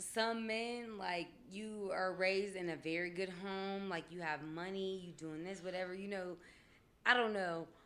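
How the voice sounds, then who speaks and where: A woman speaks loudly in a bright, sharp tone with fairly even intonation. There is audible room echo. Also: medium pitch for a woman, fairly slow pace. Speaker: podcast guest. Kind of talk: casual chat.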